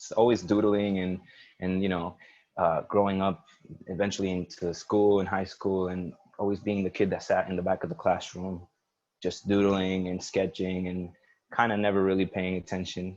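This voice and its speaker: A man's very deep, low voice in a monotone, flat intonation, at a moderate pace against a quiet background. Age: 20s. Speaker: visual artist. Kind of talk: personal presentation at a live online creative showcase. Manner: hesitant, many fillers.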